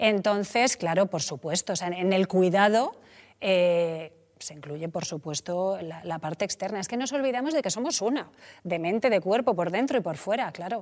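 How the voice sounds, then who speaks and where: A woman's medium-pitched voice moves at a moderate pace, her intonation lively throughout. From Spain, Mediterranean coast. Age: 40s. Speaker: entrepreneur. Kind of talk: casual chat.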